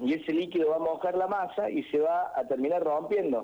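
A man's normal speaking voice at a fairly slow pace, with lively intonation. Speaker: cook. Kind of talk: cooking tutorial.

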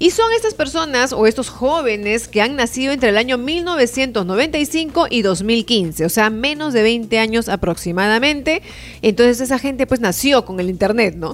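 A high-pitched woman with lively intonation, hardly any pauses between words. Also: fairly slow pace. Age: 40s. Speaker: marketing podcast co-host. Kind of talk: casual chat. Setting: video podcast with cameras.

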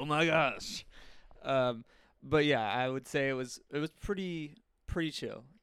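Speaking at a fairly slow pace with long, frequent pauses, a man uses a fairly high pitch and ordinary pitch variation. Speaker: podcast guest, former retail worker. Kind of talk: casual chat.

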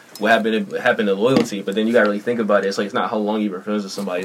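With an American accent, a man talks at a very fast pace over noticeable background noise. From Philadelphia, South Philly. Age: 20s. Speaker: up-and-coming rapper. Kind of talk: casual chat.

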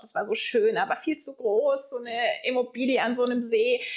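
A woman speaking at a fairly quick pace. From southern Germany, Lake Constance. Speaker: guesthouse owner. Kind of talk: casual interview. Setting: in person at her lodge.

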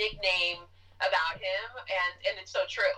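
Noticeable background noise accompanies a woman's voice. She has an American accent and speaks at a fairly slow pace. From US Northeast, Jackson Heights, Queens, New York. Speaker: actress. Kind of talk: casual chat.

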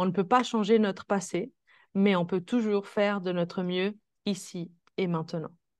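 Against a quiet background, a woman of medium pitch speaks with monotone, flat intonation. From Switzerland. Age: 20s. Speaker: holistic coach. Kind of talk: interview. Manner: soft-spoken.

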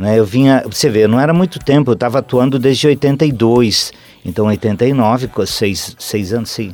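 A man speaks at a fairly slow pace with medium pitch and ordinary pitch variation, music playing in the background. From Santa Catarina interior, Brazil. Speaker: theatre actor. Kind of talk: interview. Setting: radio studio. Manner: halting.

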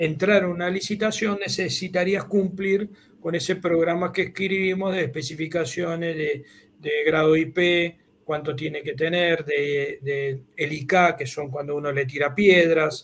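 A man at a fairly high pitch, very slow pace and ordinary pitch variation. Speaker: engineer and university professor. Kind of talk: technical explanation in a video chat.

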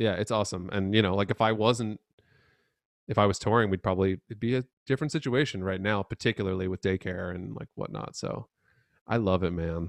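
An unremarkable speaking voice moves at a fairly quick pace with ordinary pitch variation, dry and close with no echo, over a quiet background. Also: man, fairly low pitch for a man. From New York City area (Manhattan, Long Island). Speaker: bassist and producer. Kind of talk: casual chat.

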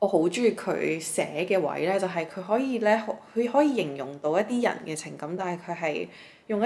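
A woman talks in an ordinary speaking voice. Her pace is moderate and her intonation lively. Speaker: podcast co-host. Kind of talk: casual chat.

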